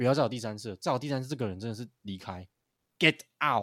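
A man with a plain, everyday voice speaks at a medium pitch with lively intonation, in a very clean, dry, close recording with no echo and a silent background. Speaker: basketball podcast co-host. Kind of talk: casual chat. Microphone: new microphone.

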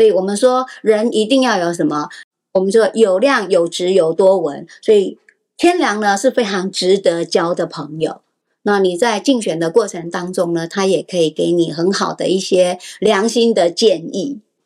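In a plain, everyday voice, a woman talks at a moderate pace and medium pitch with ordinary variation in her intonation. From Taiwan, Taipei. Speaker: astrology teacher. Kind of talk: podcast interview explaining astrology.

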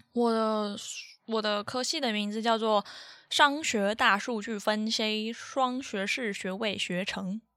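In a bright, sharp tone, a woman speaks very slowly at a fairly high pitch. Her intonation stays fairly even. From Taiwan. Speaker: podcast co-host, student. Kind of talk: casual chat.

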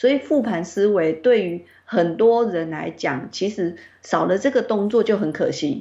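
With hardly any pauses, a woman talks at a fairly slow pace and a medium pitch. Her tone is dark and mellow, her intonation lively. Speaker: publishing editor-in-chief discussing a book. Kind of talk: online interview about a book. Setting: online call. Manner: expressive, emotive delivery.

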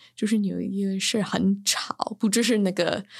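A woman's medium-pitched voice moves at a fairly slow pace with fairly even intonation. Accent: slight Beijing. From New York, US. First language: English (speaking Chinese). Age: 30s. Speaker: writer and chemistry teacher. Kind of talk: casual interview. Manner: loud; halting.

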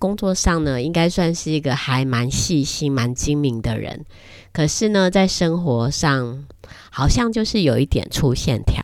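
Her voice very deep and low, a woman speaks with very wide pitch swings. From Taiwan. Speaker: podcast host. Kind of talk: casual monologue. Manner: hesitant, many fillers.

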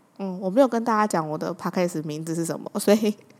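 This woman speaks with a Taiwanese accent at a fairly quick pace. Her pitch is medium with ordinary variation. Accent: Taiwanese Mandarin. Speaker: podcast host. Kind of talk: casual monologue. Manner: animated.

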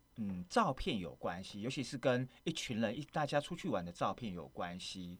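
In a very clean recording with a silent background, a man at medium pitch talks at a moderate pace with very wide pitch swings. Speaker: radio host. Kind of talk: casual interview. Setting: studio.

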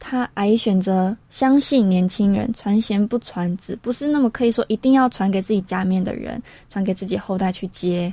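A woman's somewhat breathy, dark and mellow voice at medium pitch, with ordinary pitch variation, a moderate pace and hardly any pauses. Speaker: radio co-host. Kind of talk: radio talk show.

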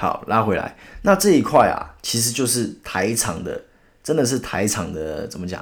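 Recorded very cleanly against a silent background, a man with a medium pitch and vocal fry makes very wide pitch swings. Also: moderate pace. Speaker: podcast host. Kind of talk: solo news commentary. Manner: animated.

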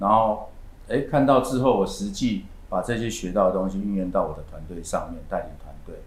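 A man speaks at a fairly quick pace, his loudness swinging widely. Room echo is audible. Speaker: real estate agency manager. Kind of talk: interview.

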